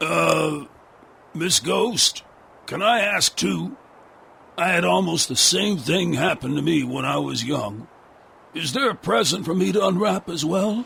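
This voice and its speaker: A man's put-on character voice, raspy and fairly high, at a fairly slow pace with long, frequent pauses. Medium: audio drama. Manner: cranky.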